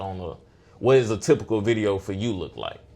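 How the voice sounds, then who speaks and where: A man with a fairly low pitch speaks at a moderate pace with ordinary pitch variation in an ordinary speaking voice, on a very clean recording with a silent background. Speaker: podcast host. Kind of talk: podcast interview, casual talk.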